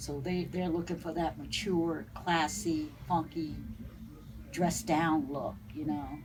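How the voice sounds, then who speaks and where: A woman with a northern US accent at a very slow pace, with audible room echo. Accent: northern US accent, still noticeable. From New Jersey. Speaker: vintage boutique owner. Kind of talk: interview. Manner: halting, many fillers.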